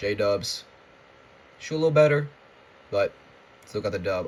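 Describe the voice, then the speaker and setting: The man's voice is somewhat breathy, with ordinary pitch variation. He speaks at a fairly slow pace. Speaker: sports vlogger. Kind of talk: casual rant. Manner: halting, stuttering.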